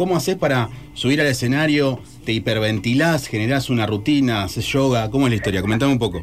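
A man talks at a very fast pace, medium in pitch with ordinary pitch variation. His loudness stays very even despite noticeable background noise. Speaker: radio host. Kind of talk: radio interview. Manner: animated.

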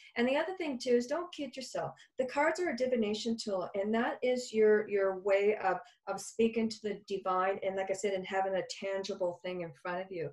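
A woman talks at a fairly quick clip with lively intonation and a medium pitch, over noticeable background noise. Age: 50s. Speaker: psychic medium and healer. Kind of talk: casual interview chat.

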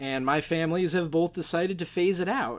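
A man with an American accent. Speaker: podcast host. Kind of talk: solo podcast monologue. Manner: casual, chatty with fillers.

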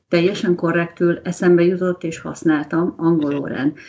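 An ordinary speaking voice at a fairly slow pace. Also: woman. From Hungary. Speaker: language mentor. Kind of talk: casual chat.

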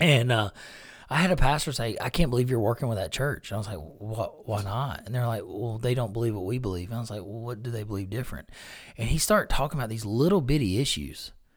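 Somewhat breathy, a man talks very fast at a medium pitch with lively intonation. The recording is very clean and the background silent. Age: 40s. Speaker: pastor and podcast host. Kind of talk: casual interview chat. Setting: studio. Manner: animated, laughing.

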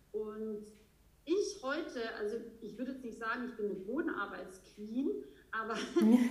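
Lively in intonation and fairly high in pitch, a woman speaks at a moderate pace with long, frequent pauses and big swings in loudness, amid audible room echo. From Austria. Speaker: horse trainer. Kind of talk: interview. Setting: remote recording.

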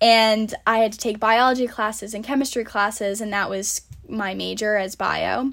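With an American accent, a woman speaks at a fairly high pitch. Her pace is moderate and her intonation monotone and flat. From US Northeast, Rhode Island. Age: 20s. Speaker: podcast host, college student. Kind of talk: casual solo podcast monologue. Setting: home, recording at summer house.

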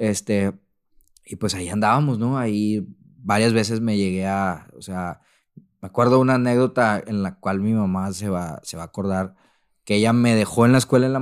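At a moderate pace and with ordinary pitch variation, a man speaks in a fairly low voice in a very clean recording with a silent background. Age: 30s. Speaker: translator. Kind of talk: testimony. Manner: halting, many repeated words.

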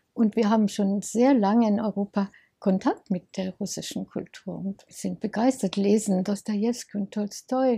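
In a dry, close recording with no echo, a woman with a dark, mellow, somewhat breathy tone speaks at a fairly slow pace with fairly even intonation. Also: medium pitch for a woman. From Munich, Bavaria. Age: 80s+. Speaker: volunteer for refugees. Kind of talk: interview.

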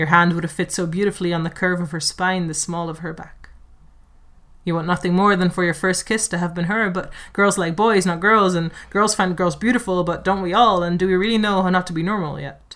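In a Dutch accent, the speech runs at a fairly quick pace in a very clean recording with a silent background. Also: woman, medium pitch for a woman, fairly even intonation. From Netherlands, Amsterdam. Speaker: performance poet. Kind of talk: casual chat.

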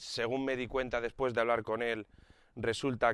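A man talks fairly slowly, with intonation that stays fairly even. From Spain, Alicante area. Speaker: podcaster. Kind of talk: casual monologue. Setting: outdoors, walking the dog.

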